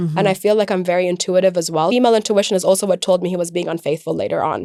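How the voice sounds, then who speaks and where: On a very clean recording with a silent background, a woman speaks at medium pitch with ordinary pitch variation. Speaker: air traffic controller and stand-up comedian. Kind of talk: interview answer. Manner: lighthearted.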